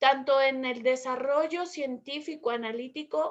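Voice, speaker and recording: A woman speaks at a very slow pace. Her pitch is high, her intonation fairly even. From Mexico. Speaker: Spanish teacher. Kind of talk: conversational debate. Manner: fluent, articulate.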